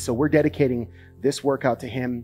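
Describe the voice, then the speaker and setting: A man talks while faint music can be heard in the background. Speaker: hockey fitness trainer. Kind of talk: tutorial. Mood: solemn memorial dedication. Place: garage. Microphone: headset.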